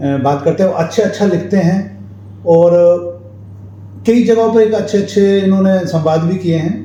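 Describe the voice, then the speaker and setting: Noticeable background noise and audible room echo accompany a man with a high voice. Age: 50s. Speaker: talk show host. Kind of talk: interview. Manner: casual, hesitant.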